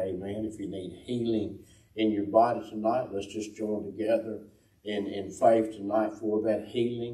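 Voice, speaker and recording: A man with a fairly low, somewhat breathy voice talks at a moderate pace in a monotone, flat intonation, with audible room echo. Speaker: host of a church broadcast. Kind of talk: opening remarks and prayer. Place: church.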